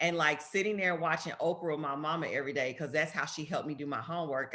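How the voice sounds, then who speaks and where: A woman with a very deep, low voice and a strong Southern US accent. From US South, Memphis, Tennessee. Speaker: politician. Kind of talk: talk to students. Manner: casual, conversational.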